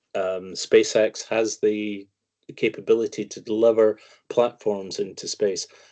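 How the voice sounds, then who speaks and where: Recorded dry and close with no echo against a quiet background, a man speaks at a fairly slow pace. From Scotland. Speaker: financial commentator, investment firm founder. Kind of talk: interview.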